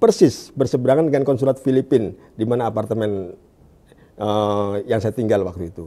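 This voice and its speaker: A man speaks at a fairly quick pace in a dark, mellow tone. His loudness swings widely, while his pitch varies in an ordinary way. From Indonesia, Jakarta (East Jakarta); Jakarta, Indonesia. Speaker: evangelist. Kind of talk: testimony. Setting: studio. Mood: calm, smiling. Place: studio. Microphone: lapel.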